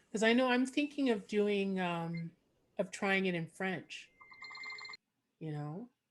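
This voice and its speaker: In a Montreal accent, a woman talks at a fairly slow pace, her medium pitch carried by lively intonation. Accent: Canadian English, Montreal. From Quebec, Montreal. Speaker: podcast host and comedian. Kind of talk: casual chat.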